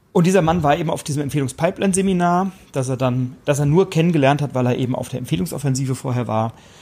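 Over a silent background in a very clean recording, a man with a fairly high pitch speaks very fast in a somewhat breathy voice with a dark, mellow tone. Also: ordinary pitch variation. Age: 30s. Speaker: podcast host, referral marketing coach. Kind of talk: solo podcast monologue. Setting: on a hotel terrace by the sea.

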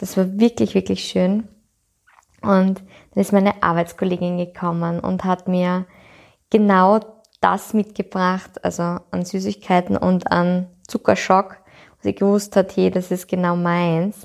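Flat, monotone intonation carries speech delivered at a very slow pace. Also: woman, medium pitch for a woman. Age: 20s. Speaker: podcast host, yoga and personal development coach. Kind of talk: personal reflective monologue.

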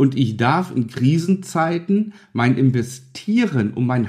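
With a slightly mellow tone, a man talks at a fairly slow pace in a medium pitch with big pitch swings.

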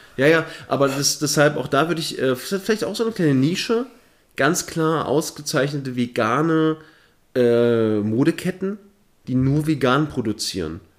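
With lively intonation, a man talks at a moderate pace in a fairly high pitch. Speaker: podcast co-host and streamer. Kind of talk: casual chat. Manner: soft-spoken.

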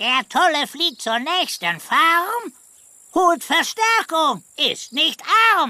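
An extremely high-pitched, put-on character voice. It speaks at a very slow pace. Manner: silly, speaks in rhymes.

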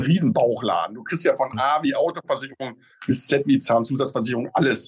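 A man talks fairly quickly in a fairly high, somewhat breathy voice, his pitch moving in an ordinary way. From Westphalia. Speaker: insurance agent. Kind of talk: casual interview.

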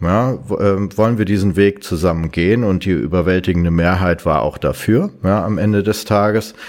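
A man's fairly low voice at a moderate pace. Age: 50s. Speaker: IT company founder. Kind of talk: interview. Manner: hesitant with many fillers.

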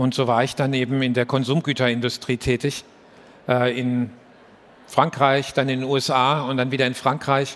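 A man at a moderate pace, with monotone, flat intonation. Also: medium pitch for a man. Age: 50s. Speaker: business executive. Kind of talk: live stage interview. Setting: stage with audience. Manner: halting.

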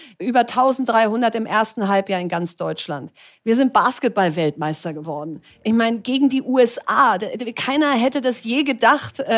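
Against a silent background on a very clean recording, a woman with a fairly high voice and vocal fry talks at a moderate pace with lively intonation. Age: 40s. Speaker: entrepreneur and investor. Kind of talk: live talk interview. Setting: live event with audience.

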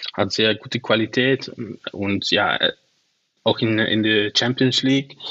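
With a Dutch accent, a man talks at a medium pitch using fairly even intonation. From Netherlands, Venlo. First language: Dutch (speaking German). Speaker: football scout and analyst. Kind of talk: casual chat. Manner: halting.

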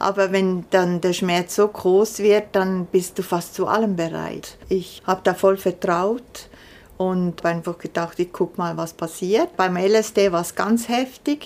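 Here is a woman with an ordinary speaking voice. Her pitch is medium and her intonation fairly even. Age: 60s. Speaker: chronic pain patient, artist. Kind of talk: interview testimony.

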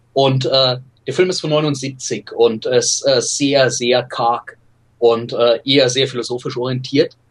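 Somewhat breathy, a man speaks at a very slow pace with fairly even intonation. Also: medium pitch for a man. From Bavaria, Germany (Regensburg). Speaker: film scholar. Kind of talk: casual interview.

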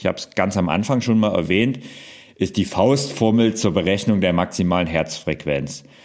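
With an ordinary speaking voice, a man talks at a moderate pace with a fairly low pitch and lively intonation. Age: 40s. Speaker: fitness podcaster. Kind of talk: solo podcast explainer.

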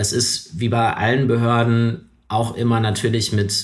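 This man's voice is fairly low in pitch and somewhat breathy. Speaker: member of parliament. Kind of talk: interview. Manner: hesitant, many fillers.

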